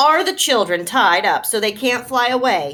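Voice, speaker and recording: A woman puts on a character voice, high-pitched with very wide pitch swings, at a moderate pace. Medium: read story.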